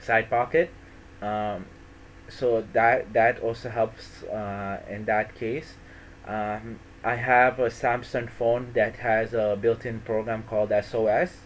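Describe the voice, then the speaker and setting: Very slowly, a man speaks with an American accent. His pitch is medium and his intonation fairly even. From US East Coast / Florida. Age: 20s. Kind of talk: personal talk. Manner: halting, many fillers and restarts.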